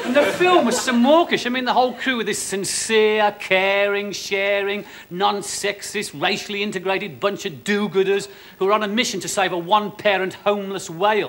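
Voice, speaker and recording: This man's voice sits high in pitch, moving at a moderate pace with ordinary pitch variation. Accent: Birmingham. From Birmingham, England. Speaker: stand-up comedian. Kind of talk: stand-up comedy routine to a live audience. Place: stage.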